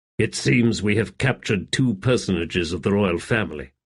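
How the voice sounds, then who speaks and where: Using a put-on character voice, a man speaks fairly quickly at a fairly low pitch with lively intonation. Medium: read story. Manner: toneless, calm.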